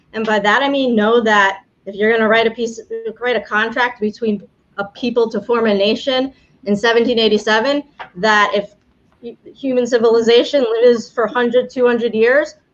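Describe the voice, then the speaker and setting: At a moderate pace, a woman with a New York accent talks in a fairly high pitch with ordinary pitch variation. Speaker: immigration attorney, game show host. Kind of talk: live-streamed game show. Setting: live stream from home, storm outside. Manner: casual, with filler words and restarts.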